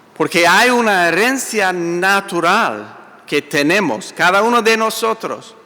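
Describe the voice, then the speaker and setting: A man talks at a very slow pace. There is noticeable background noise. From US, Italian-American family. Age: 60s. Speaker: pastor. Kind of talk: sermon. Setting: church.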